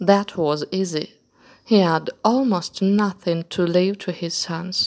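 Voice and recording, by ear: Someone reads aloud in a natural voice with fairly even intonation.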